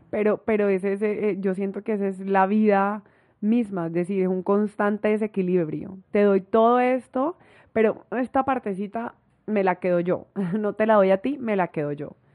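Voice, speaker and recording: With an ordinary speaking voice, a woman talks at a moderate pace, her pitch medium and its variation ordinary. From Colombia, Barranquilla (Caribbean coast). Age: 20s. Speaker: travel influencer. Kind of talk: casual interview. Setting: host's apartment.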